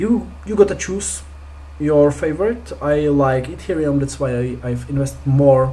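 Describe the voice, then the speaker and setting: Someone with a non-native accent talks at a fairly slow pace. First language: not English. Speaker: crypto investing youtuber. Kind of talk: screen-share tutorial. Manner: hesitant, many fillers.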